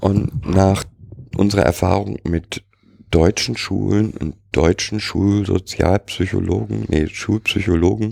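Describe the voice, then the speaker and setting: Vocal fry marks a very slow delivery with ordinary pitch variation and a dry, close sound with no echo. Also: man, very deep, low pitch for a man. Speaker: co-host. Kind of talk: casual chat.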